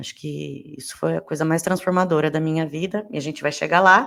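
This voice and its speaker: Fairly even intonation from a woman, at a fairly quick pace. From Brazil, interior of São Paulo state (Rio Claro). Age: 30s. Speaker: podcast host. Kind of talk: podcast monologue, casual.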